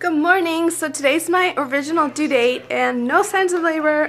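Lively intonation in a woman's speech. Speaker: vlogger. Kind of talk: casual vlog chat. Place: home room. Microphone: phone near.

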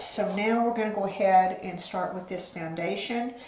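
The intonation is monotone and flat. Light background noise and audible room echo are present. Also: woman. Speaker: beauty vlogger. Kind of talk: tutorial. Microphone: phone near.

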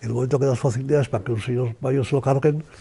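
A man speaks very fast with fairly even intonation, his somewhat breathy voice carrying a dark, mellow tone. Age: 80s+. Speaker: economist and author. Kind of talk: interview answer. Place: home room.

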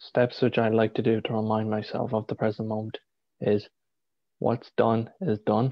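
Over a quiet background, a man speaks at medium pitch and a moderate pace in a monotone, flat intonation, the sound dry with no echo. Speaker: spiritual healer. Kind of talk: guided meditation. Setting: live video stream. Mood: calm, soothing. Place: home room. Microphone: video call.

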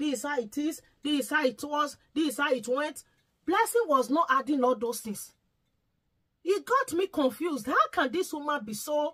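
A woman talks at a moderate pace in a high pitch, her raised, projected voice carrying a bright, sharp tone. Her intonation is lively, and the background is quiet. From Nigeria. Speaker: YouTube vlogger; commentator vlogger. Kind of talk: vlog commentary. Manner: pleading. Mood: pleading, emotional. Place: home room.

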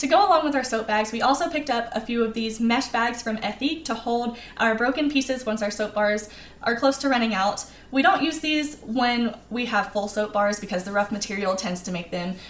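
In a room with audible echo, a woman talks at a fairly quick pace with ordinary pitch variation. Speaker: travel vlogger. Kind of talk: tutorial. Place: home room.

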